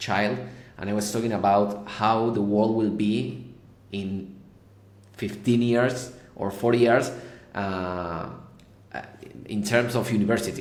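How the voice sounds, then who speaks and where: A man with a Spanish accent talks at a moderate pace and a fairly low pitch. His intonation is fairly even, and audible room echo surrounds it. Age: 30s. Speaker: tech company founder and CEO. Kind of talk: podcast interview. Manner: halting, repeats words.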